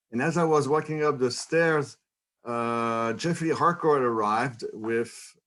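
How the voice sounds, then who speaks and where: On a very clean recording with a silent background, a man with a French Canadian accent speaks at a fairly slow pace with ordinary pitch variation. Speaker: economics professor. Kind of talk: lecture. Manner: halting.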